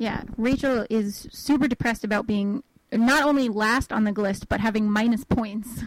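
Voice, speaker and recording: Somewhat breathy speech at a moderate pace, with very even loudness and fairly even intonation. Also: woman, fairly high pitch for a woman. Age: 20s. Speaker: podcast co-host. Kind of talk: casual chat. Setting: home, parents' house.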